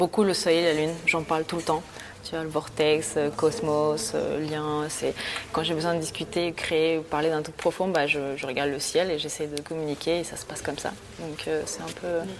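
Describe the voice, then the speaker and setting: A woman with a very deep, low voice talks at a moderate pace with fairly even intonation. Her loudness swings widely over noticeable background noise. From Bolivia (Santa Cruz), moved to France at 11. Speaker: art student and painter. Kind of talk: casual interview. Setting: art studio.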